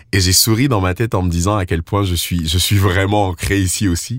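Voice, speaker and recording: Talking at a moderate pace, a man uses a fairly low pitch. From Ivory Coast. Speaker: slam and soul musician. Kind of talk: interview.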